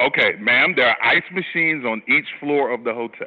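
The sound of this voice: A loud man with a medium pitch, a slightly husky edge, ordinary pitch variation and a moderate pace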